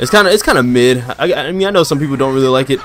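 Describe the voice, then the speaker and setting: A man's medium-pitched voice, animated in tone with lively intonation, at a very fast pace amid noticeable background noise. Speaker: gaming streamer. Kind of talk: live gameplay stream chat. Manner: casual, animated.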